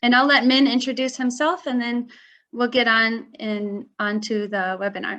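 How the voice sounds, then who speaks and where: Over a quiet background, a woman with a Midwestern American accent talks at a moderate pace in a high pitch, her tone bright and sharp and her pitch variation ordinary. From US Midwest. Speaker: marketing director. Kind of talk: webinar presentation.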